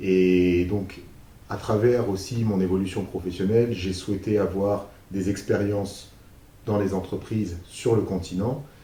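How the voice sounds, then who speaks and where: There is audible room echo as a man talks at a fairly slow pace. His voice is fairly low and somewhat breathy, with fairly even intonation. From France, Paris region. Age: 30s. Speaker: business manager and youth mentor. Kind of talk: interview. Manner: hesitant, many fillers.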